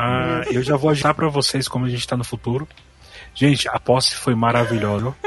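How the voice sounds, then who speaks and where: A man speaks at a fairly quick pace in a medium pitch, with fairly even intonation. His is a plain, everyday voice. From Brasília, Brazil. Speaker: podcast supporter and group admin. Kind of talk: casual group chat.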